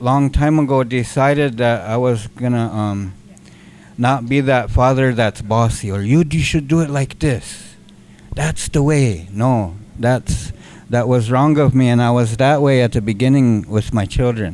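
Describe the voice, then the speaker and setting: A man with an American accent talks at a fairly slow pace, at a medium pitch with ordinary pitch variation, in an unremarkable speaking voice. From US Great Plains, raised among the Lakota. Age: 60s. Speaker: community organizer. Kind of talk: audience comment in a workshop discussion.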